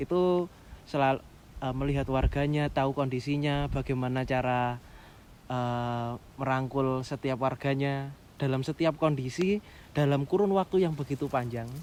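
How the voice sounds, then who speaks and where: With a medium pitch and fairly even intonation, a man speaks at a moderate pace. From East Java, Pasuruan. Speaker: trainee pastor. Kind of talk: casual interview chat.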